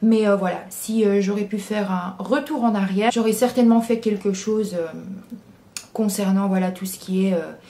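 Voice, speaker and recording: Over noticeable background noise, a woman with a medium pitch speaks at a moderate pace in a fairly even intonation. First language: English (speaking French). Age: 20s. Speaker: YouTuber. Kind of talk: Q&A vlog. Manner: hesitant, many fillers.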